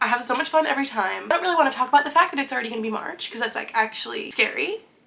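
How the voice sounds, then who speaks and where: Over noticeable background noise, a woman with a high pitch talks in a raised, projected voice at a very fast pace, her pitch swinging very widely. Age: 20s. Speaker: book youtuber. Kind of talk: casual talk to camera.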